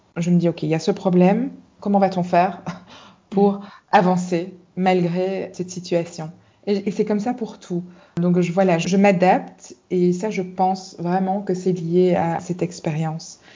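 A woman speaks at a medium pitch in a monotone, flat intonation. Her pace is fairly slow. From Belgium, Brussels. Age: 40s. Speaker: life and career coach. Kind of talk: interview.

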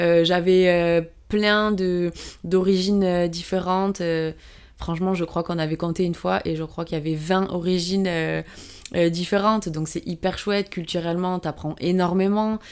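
Speaking at a fairly slow pace, a woman uses a fairly low pitch and a monotone, flat intonation. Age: 20s. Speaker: PE teacher and amateur rugby player. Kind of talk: interview. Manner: hesitant, many fillers.

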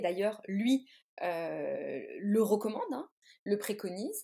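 A woman's fairly high, somewhat breathy voice, dark and mellow in tone, with lively intonation. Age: 30s. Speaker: tarot reader and artist. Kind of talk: interview. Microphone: sound problems, noises and lag.

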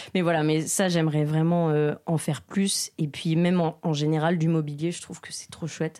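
The voice has a dark, mellow tone and a monotone, flat intonation at a moderate pace. There are hardly any pauses, and the loudness swings widely. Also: woman, very deep, low pitch for a woman. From France, between Lyon and Grenoble. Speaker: ceramic artist. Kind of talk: interview. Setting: ceramics studio. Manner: hesitant, many fillers.

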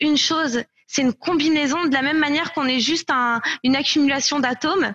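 In a dry, close recording with no echo, a woman speaks at a moderate pace in a high voice with ordinary pitch variation. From France. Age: 20s. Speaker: company co-founder. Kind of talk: casual interview.

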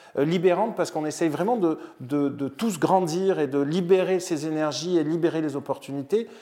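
Speaking at a moderate pace with hardly any pauses, a man has a fairly high pitch, a dark, mellow tone and ordinary pitch variation. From Marseille, southern France. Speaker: business executive and NGO founder. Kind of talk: interview. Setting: outdoors by a vegetable garden. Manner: halting, with repetitions.

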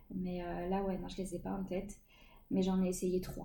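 Amid audible room echo, a woman speaks fairly quickly in a medium pitch, somewhat breathy, with a dark, mellow tone and monotone, flat intonation. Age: 30s. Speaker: stay-at-home mother sharing her pregnancy and postpartum experience. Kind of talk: interview testimony.

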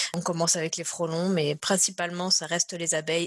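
A woman's fairly low voice with a slight southern French accent, at a fairly quick pace. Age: 30s. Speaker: neuroscience researcher. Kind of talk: interview. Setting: remote call from home.

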